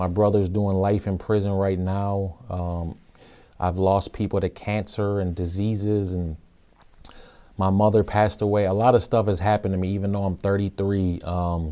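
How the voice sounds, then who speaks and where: This man has an American accent and a dark, mellow tone at a fairly low pitch. His intonation is monotone and flat, and his pace is moderate. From Minnesota, US (Saint Paul). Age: 30s. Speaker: rapper and youth pastor. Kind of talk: personal testimony talk. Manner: hesitant, many fillers.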